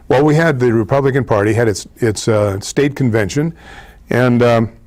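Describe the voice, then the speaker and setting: Here a man speaks at a medium pitch with ordinary pitch variation. His loudness stays very even. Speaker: TV talk show host. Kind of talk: political commentary monologue. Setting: studio. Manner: fast, rushing.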